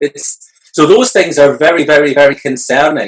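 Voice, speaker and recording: Talking at a fairly quick pace, a man with a Scottish accent uses a fairly high pitch. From Scotland. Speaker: entrepreneur and future of work expert. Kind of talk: interview. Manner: hesitant, many fillers.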